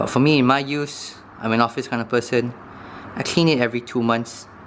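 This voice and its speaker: A man's voice at a very fast pace, with fairly even intonation and noticeable background noise. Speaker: knife review youtuber. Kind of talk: tutorial. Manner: casual, hesitant with fillers.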